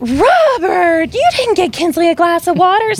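The pitch climbs extremely high in this put-on character voice. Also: moderate pace. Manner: sweet, gently scolding.

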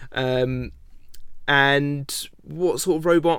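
A man with an English accent and a fairly high pitch. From England. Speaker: robot combat show host and builder. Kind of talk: interview.

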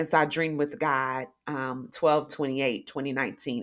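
With an animated tone, a woman speaks at a very deep, low pitch with ordinary pitch variation. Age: 40s. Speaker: podcast host and life coach. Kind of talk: casual monologue.

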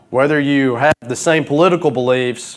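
In a Southern US accent, a man speaks at a moderate pace with ordinary pitch variation. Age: 20s. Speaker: preacher. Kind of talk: sermon.

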